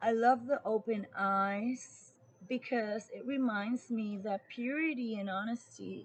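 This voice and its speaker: A woman speaks very slowly in a fairly high, somewhat breathy voice. Her pitch variation is ordinary. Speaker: tarot reader. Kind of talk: tarot reading.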